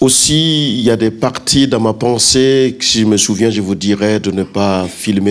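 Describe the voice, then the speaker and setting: Noticeable background noise sits under this recording. A man speaks fairly slowly, his fairly low pitch showing ordinary variation. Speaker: pastor. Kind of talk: sermon. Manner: loud.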